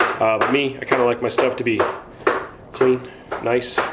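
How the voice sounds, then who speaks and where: A man keeps a moderate pace despite loud noise in the background. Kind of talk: casual vlog chat. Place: garage. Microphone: phone near.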